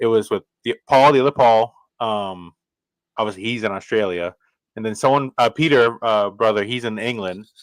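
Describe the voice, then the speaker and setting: The recording is very clean with a silent background and a dry, close sound with no echo. A man speaks at medium pitch and moderate pace with ordinary pitch variation. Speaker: podcast host. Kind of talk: casual chat. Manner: halting.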